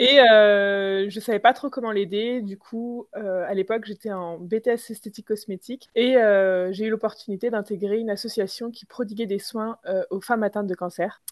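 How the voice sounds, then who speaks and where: A woman with a fairly high pitch talks at a moderate pace with hardly any pauses, her intonation fairly even while her loudness swings widely. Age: 20s. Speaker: entrepreneur. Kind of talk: interview. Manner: hesitant, many fillers.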